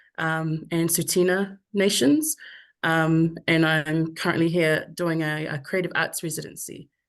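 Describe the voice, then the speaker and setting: Against a quiet background, a woman speaks slowly-ish at a fairly low pitch, her intonation monotone and flat, at a fairly slow pace. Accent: New Zealand. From New Zealand, Samoan heritage. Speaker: artist. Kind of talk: panel discussion. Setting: video call.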